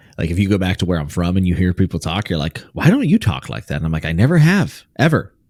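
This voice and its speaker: Over a very clean recording with a silent background, a man with a slight West Virginia accent talks at a very fast pace with hardly any pauses, his very deep, low voice carrying lively intonation. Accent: very light West Virginia. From US, West Virginia. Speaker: podcast co-host. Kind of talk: casual chat.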